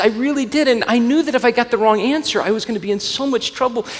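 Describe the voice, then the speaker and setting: This man talks at a fairly quick pace with an American accent. His pitch is high for a man. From US South, Alabama. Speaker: pastor. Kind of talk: sermon.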